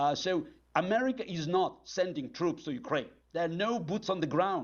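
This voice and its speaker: A man with a Russian accent speaks at a moderate pace, his high pitch carried by lively intonation. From former Soviet Union (Azerbaijan, then Moscow). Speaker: political analyst. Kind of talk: TV interview answering a caller. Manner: halting, many fillers.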